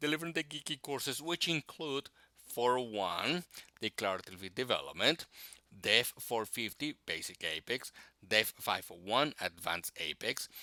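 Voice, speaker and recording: In a very clean recording with a silent background and a dry, close sound with no echo, a man with a Spanish accent speaks at a medium pitch in a bright, sharp tone, with vocal fry and very wide pitch swings. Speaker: technical instructor and tech blogger. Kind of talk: scripted self-introduction.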